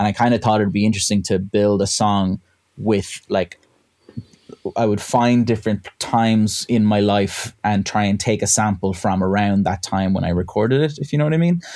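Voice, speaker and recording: With a western Irish accent, a man speaks at a moderate pace in a fairly low, dark, mellow tone. His loudness stays very even and his pitch varies in an ordinary way. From West of Ireland. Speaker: electronic musician. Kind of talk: casual chat.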